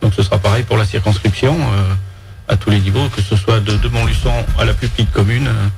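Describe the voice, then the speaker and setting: Music plays behind a man with a fairly low pitch. He talks at a fairly quick pace with lively intonation. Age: 50s. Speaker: farmer and parliamentary candidate. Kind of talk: radio interview. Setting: radio studio. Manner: hesitant, many fillers. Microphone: too far from the mic.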